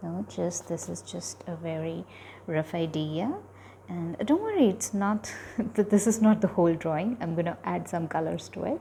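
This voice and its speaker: A soft-spoken woman talks at a fairly slow pace. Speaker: art tutorial creator. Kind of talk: drawing tutorial. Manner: soft-spoken, slow while drawing; halting, many fillers.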